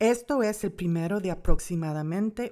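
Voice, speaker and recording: A woman speaks with an American accent in a dark, mellow tone. Her intonation is lively. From United States. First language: English (speaking Spanish). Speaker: Bible course teacher. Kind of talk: lecture.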